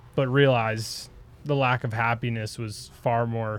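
A man's voice sits at a medium pitch with monotone, flat intonation. He speaks at a fairly slow pace. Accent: Wisconsin. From Wisconsin, US. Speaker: ski patroller and retail sales associate. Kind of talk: casual conversation.

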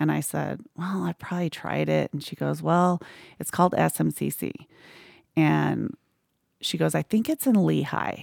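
In a very clean recording with a silent background, a woman with an American accent is heard with a dry, close sound and no echo. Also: moderate pace. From Arizona. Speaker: church staff member. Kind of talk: testimony.

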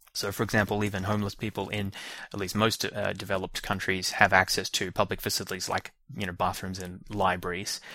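With an Australian accent, a man speaks in a very deep, low pitch and a monotone, flat intonation. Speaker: educational podcast host. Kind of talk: solo lecture.

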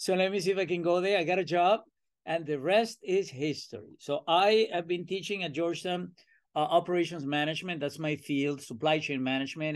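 Someone with a Venezuelan accent speaks at a fairly quick pace with ordinary pitch variation. The background is quiet. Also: man. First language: Spanish. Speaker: professor. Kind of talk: interview. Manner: talkative; animated.

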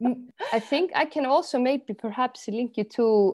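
A woman is speaking. She has an Icelandic accent. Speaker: artist and project manager, trained jazz singer. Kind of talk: interview.

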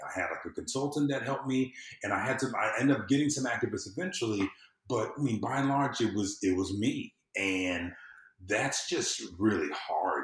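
A man with an American accent talks at a fairly quick pace, somewhat breathy, medium in pitch, with lively intonation. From US South. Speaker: civic engagement consultant. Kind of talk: casual chat.

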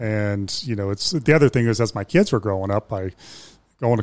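In an unremarkable speaking voice with an American accent, the talk moves at a fairly quick pace on a very clean recording with a silent background. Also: man. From Ohio, Youngstown. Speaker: business owner. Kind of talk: interview.

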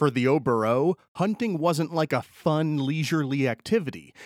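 A man's ordinary speaking voice with an American accent, moderate pace and ordinary pitch variation, dry and close with no echo on a very clean recording with a silent background. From upstate New York (Schenectady). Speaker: podcast host. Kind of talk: solo narrated history podcast.

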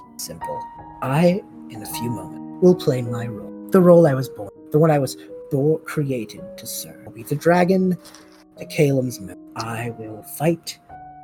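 A put-on character voice, low-to-middle in pitch, with very wide pitch swings and a moderate pace, set against background music and hissing. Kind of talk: villain monologue. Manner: menacing, silky, taunting, philosophical.

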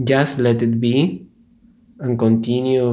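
The voice has a calm, gentle tone and moves at a very slow pace. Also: man. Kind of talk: guided meditation. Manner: slow, soft, soothing, with long pauses; calm, gentle instructional guidance.

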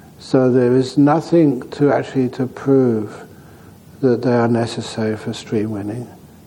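Noticeable background noise sits behind the speech. The intonation is fairly even and the pace fairly slow. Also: man, medium pitch for a man. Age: 70s. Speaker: meditation teacher. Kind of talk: dharma talk at a retreat. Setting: meditation retreat center.

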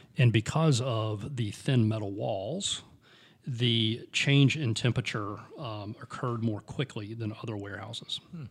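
The voice is a man's, somewhat breathy. He speaks at a fairly slow pace. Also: medium pitch for a man, ordinary pitch variation. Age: 50s. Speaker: podcast co-host, bourbon enthusiast. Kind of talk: casual chat.

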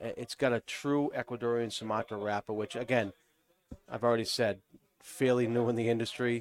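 Someone speaks at a fairly quick pace with a Boston accent and fairly even intonation. The sound is dry and close, with no echo. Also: man. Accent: New England, Boston-like. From New Hampshire. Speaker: cigar company representative. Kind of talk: casual chat.

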